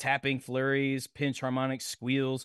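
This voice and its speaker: A man with a fairly high voice over a quiet background. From Nashville, Tennessee, US South. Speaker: podcast co-host. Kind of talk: casual chat.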